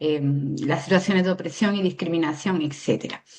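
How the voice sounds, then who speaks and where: Ordinary pitch variation marks a woman's voice. She keeps a moderate pace. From Andalusia, Spain. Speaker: activist and human rights defender. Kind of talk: interview. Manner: hesitant, many fillers.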